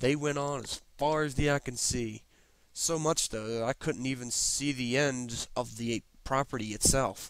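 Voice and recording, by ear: Someone reads the text aloud in a natural voice.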